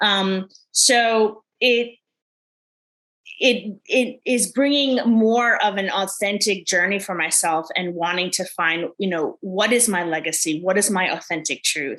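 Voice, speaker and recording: Her speech moves fairly slowly. The woman's pitch rises and falls in an ordinary way. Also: medium pitch for a woman. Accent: New York. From New York. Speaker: life coach. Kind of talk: podcast interview.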